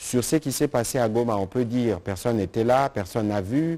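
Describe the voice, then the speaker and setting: A man talks at a moderate pace with ordinary pitch variation. His tone is dark and mellow. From DR Congo. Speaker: government spokesman. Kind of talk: press conference. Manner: formal. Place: hall. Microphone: podium.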